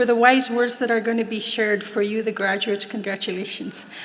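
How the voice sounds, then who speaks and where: Amid noticeable background noise and audible room echo, a woman with a western Canadian accent speaks in monotone, flat intonation at a fairly high pitch. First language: Plains Cree. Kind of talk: ceremonial invocation and prayer. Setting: stage at graduation ceremony with audience.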